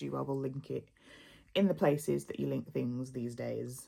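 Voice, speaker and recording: In a Birmingham accent, a woman speaks on a very clean recording with a silent background. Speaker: lifestyle vlogger. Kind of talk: casual vlog talk to camera.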